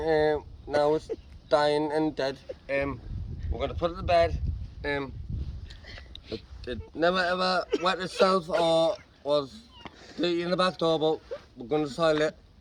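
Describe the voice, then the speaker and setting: A man with a Geordie accent speaks at a fairly slow pace and fairly high pitch, with fairly even intonation and long, frequent pauses. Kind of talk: mock eulogy. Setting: outdoors.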